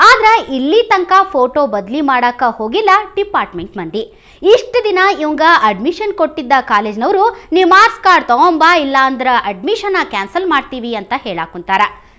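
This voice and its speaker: On a very clean recording with a silent background, a woman with a North Karnataka accent uses a raised, projected voice, high pitch, very wide pitch swings and a bright, sharp tone. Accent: North Karnataka Kannada dialect. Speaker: news anchor. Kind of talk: news narration in regional dialect.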